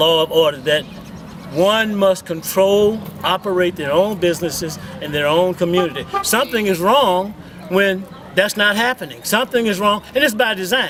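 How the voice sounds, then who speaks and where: Noticeable background noise runs beneath speech at a moderate pace with ordinary pitch variation. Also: man, high pitch for a man. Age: 70s. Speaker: community activist. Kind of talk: street interview. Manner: impassioned.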